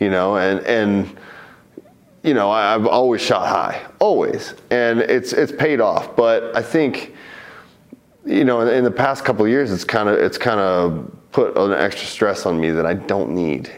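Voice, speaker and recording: A man speaks fairly slowly at a very even loudness. The room echo is audible, and background noise is noticeable. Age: 30s. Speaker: MMA fighter. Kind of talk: interview.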